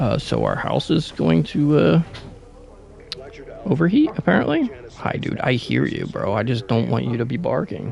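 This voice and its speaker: A man at a moderate pace, with long, frequent pauses and noticeable background noise. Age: 20s. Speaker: gaming streamer. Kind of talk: casual live stream chat. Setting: at home, live streaming. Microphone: new EQ settings, reduced bass.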